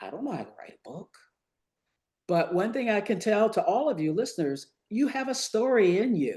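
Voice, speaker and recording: Dark and mellow in tone, a woman with an American accent speaks with vocal fry, very wide pitch swings and big swings in loudness. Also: moderate pace. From US South, Virginia. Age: 70s. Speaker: retired physician, author and professional speaker. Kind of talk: interview.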